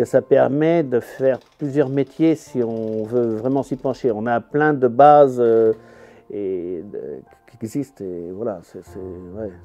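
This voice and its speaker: With noticeable background noise behind him, a man of medium pitch speaks very slowly, his pitch varying in an ordinary way while his loudness swings widely. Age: 60s. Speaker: carpenter and eco-house builder. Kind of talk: interview. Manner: hesitant, many fillers.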